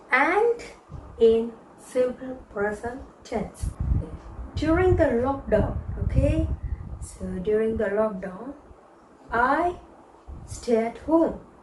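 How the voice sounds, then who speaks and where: Over noticeable background noise, a woman with a non-native accent speaks at a very slow pace, her fairly high voice showing ordinary pitch variation. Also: long, frequent pauses. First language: not English. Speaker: English teacher. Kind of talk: beginner English lesson. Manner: slow, repetitive.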